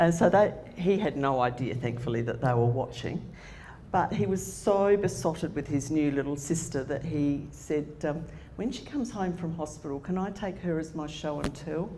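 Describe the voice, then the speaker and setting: A woman with an Australian accent, very deep and low in pitch, lively in intonation, at a moderate pace amid audible room echo. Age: 60s. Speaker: motivational speaker. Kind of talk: conference talk.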